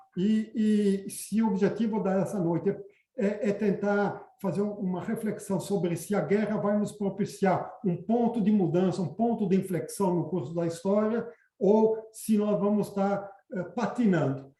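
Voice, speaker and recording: A man speaks at a fairly slow pace in a high-pitched voice with fairly even intonation. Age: 60s. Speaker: environmental activist. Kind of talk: panel talk. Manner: halting, many fillers.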